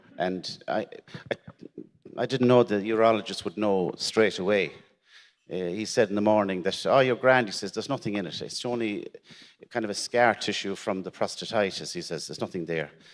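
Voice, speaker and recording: In an Irish accent, the speaker goes at a fairly quick pace with ordinary pitch variation, on a very clean recording with a silent background. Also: man, fairly low pitch for a man. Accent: Irish, Gaeltacht. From Ireland, Irish-speaking area. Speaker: prostate cancer survivor, panelist. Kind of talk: testimony. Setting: stage with audience. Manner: halting, repeats words.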